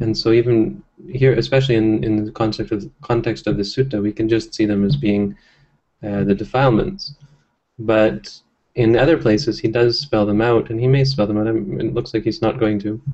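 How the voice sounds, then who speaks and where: A somewhat breathy man at a medium pitch speaks at a fairly quick pace with lively intonation. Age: 30s. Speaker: Buddhist monk leading scripture study. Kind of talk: text study discussion. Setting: monastery, livestreamed. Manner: hesitant with fillers.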